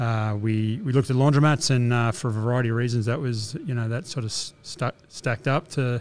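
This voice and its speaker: A man with an Australian accent talks at a medium pitch and a fairly quick pace, with ordinary pitch variation and hardly any pauses. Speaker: laundromat business owner. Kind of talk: interview. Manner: hesitant, many fillers.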